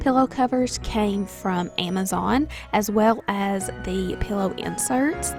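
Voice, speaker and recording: A woman speaks in a Southern US accent. Music plays in the background. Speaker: stay-at-home mom, lifestyle vlogger. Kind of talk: home tour narration. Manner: upbeat.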